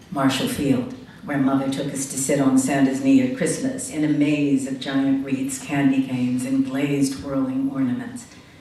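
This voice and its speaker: A woman with an American accent talks at a moderate pace, hardly pausing, in a monotone, flat intonation and a very deep, low pitch. Audible room echo and noticeable background noise fill the recording. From Chicago, US Midwest. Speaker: writer and essayist. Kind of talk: reading aloud own essay.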